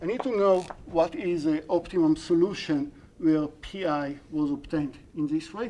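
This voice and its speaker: This speaker has an Israeli accent. The pace is fairly slow. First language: Hebrew. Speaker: university lecturer. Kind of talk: lecture. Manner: halting.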